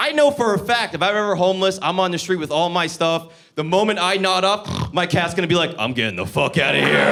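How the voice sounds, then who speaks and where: A man with an American accent at a very fast pace, high-pitched, lively in intonation, with hardly any pauses and noticeable background noise. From New Jersey. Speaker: stand-up comedian. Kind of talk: stand-up. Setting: comedy club stage with audience. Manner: animated.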